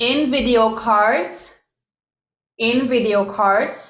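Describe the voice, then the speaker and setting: With a German accent, a woman speaks at a very slow pace. Her pitch is fairly high, with ordinary variation. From Germany. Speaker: online business coach. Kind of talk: live webinar. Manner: animated.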